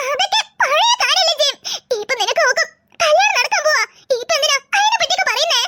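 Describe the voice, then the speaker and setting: In a cartoonish character voice, a woman squeaks at an extremely high pitch with lively intonation and a fairly quick pace, the sound dry and close with no echo. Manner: emotional, hurt.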